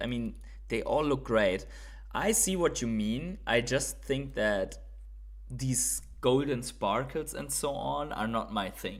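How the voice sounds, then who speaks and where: The pace here is fairly slow. A man talks in a German accent. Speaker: streamer. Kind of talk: live stream chat. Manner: hesitant, many fillers.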